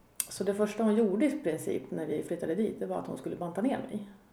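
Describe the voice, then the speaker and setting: A woman's medium-pitched voice with lively intonation and audible room echo. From Sweden, Katrineholm. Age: 40s. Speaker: podcast guest sharing recovery story. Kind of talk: personal testimony in casual interview. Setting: home kitchen.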